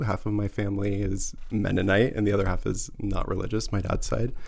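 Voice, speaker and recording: There is audible room echo in this recording. A man talks at a fairly quick pace. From US Midwest, rural Missouri near Kansas City. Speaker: former cheesemaker. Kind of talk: casual chat. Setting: studio.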